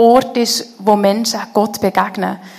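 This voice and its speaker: Noticeable background noise sits under a woman speaking in a fairly high pitch with monotone, flat intonation. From Switzerland, canton of Bern (Konolfingen). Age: 30s. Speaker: head of a theology school, guest speaker. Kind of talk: church interview, personal testimony.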